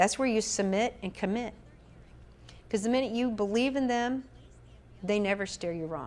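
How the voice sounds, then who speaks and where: Speaking with a Southern US accent, a woman has a fairly high pitch and ordinary pitch variation. Her pace is moderate, broken by long, frequent pauses. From US South, Atlanta. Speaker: spiritual medium and minister. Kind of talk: interview chat.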